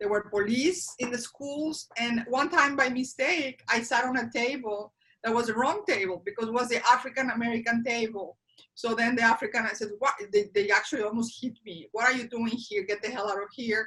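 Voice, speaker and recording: Speaking with a Spanish accent, a woman keeps a fairly quick pace at a fairly high pitch with ordinary pitch variation. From Mexico. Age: 50s. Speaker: interviewee sharing life story. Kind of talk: interview. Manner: halting.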